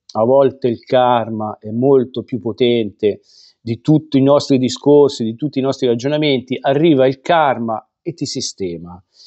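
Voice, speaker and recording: A man talks at a fairly slow pace, his pitch varying in an ordinary way against a quiet background. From Italy. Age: 50s. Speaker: football vlogger. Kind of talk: angry rant. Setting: home studio, online video. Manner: indignant, scolding, heated; emphatic, repetitive. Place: home room. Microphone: lapel.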